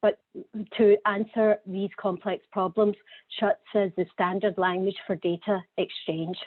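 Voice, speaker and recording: A woman with a Scottish accent speaks fairly slowly at medium pitch, her intonation monotone and flat. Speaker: healthcare data executive. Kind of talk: conference presentation. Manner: hesitant, repeats words.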